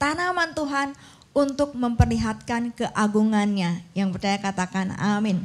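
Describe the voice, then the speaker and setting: A woman's somewhat breathy, fairly high voice with lively intonation at a fairly slow pace. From Indonesia, Bandung (West Java). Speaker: pastor. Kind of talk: sermon.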